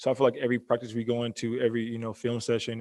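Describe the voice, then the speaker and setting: At a very fast pace, a man talks at medium pitch. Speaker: college basketball player. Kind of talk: press conference answers. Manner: halting, many fillers.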